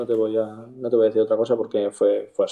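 A man talks at a fairly quick pace. His intonation is monotone and flat, and the background is quiet. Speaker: professional footballer; guest. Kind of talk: casual interview. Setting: live stream. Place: home room. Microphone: video call.

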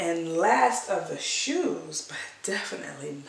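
A woman is speaking. Audible room echo surrounds her voice. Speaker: thrift reseller. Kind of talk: casual vlog chat. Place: home room. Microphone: camera far.

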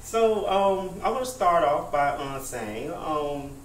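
A man speaks at a fairly slow pace over light background noise, with audible room echo. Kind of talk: practice public speech. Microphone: camera far.

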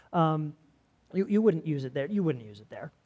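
A man's fairly quick speech against a quiet background. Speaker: preacher. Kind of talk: sermon. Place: church.

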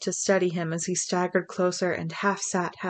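Someone reads the words aloud. The voice sounds natural.

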